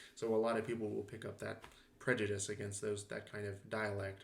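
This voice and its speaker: The delivery moves at a moderate pace. Room echo can be heard. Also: man. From Southern California. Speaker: linguistics lecturer. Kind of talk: lecture. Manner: casual, with fillers.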